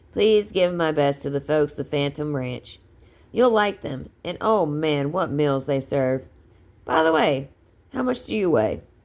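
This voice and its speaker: A woman's put-on character voice, very deep and low in pitch, drawling at a fairly slow pace with lively intonation. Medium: read story. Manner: drawling, persuasive.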